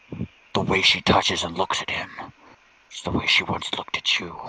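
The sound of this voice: A guttural put-on character voice from a man, very deep and low in pitch, at a moderate pace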